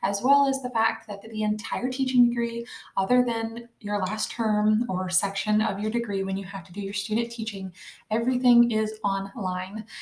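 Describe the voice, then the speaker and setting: Against noticeable background noise, a soft-spoken woman talks at a moderate pace in a fairly high voice. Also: fairly even intonation. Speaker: online college student and homeschooling mom. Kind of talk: casual tutorial vlog. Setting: at home at night. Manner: quiet, soft-spoken.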